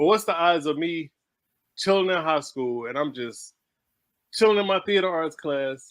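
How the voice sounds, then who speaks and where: With an American accent, a man talks at a moderate pace in a fairly high pitch with ordinary pitch variation and long, frequent pauses, on a very clean recording with a silent background. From Houston, Texas. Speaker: stage play writer, artist. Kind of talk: casual interview chat.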